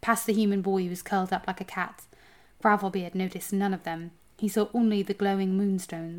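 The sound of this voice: An unforced reading voice carries the clip.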